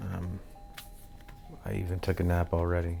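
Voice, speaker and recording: Music plays in the background as a man with a very deep, low voice talks at a moderate pace. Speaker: pipe tobacco vlogger. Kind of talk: casual vlog. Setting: small apartment room. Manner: loud.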